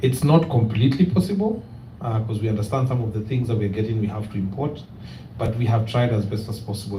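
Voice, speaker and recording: A man speaks at a fairly quick pace, with medium pitch and ordinary pitch variation. Room echo is audible. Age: young. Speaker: real estate company representative. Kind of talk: presentation with Q&A at community meeting.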